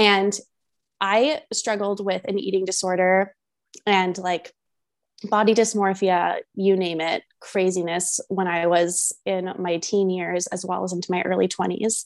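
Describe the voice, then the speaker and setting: Fairly slow speech in a monotone, flat intonation. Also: woman, medium pitch for a woman. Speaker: confidence and manifestation coach. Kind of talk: casual interview chat.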